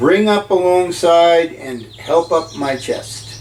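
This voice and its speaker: A man puts on a gruff, high-pitched character voice with lively intonation. He talks at a fairly slow pace over clear background noise. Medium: read story. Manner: rough, gruff, commanding.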